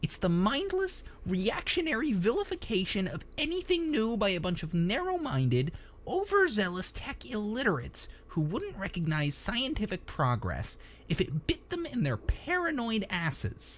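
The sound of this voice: Doing a put-on character voice, a man speaks at a high pitch with very wide pitch swings. His tone is fairly bright, and his pace is fairly slow.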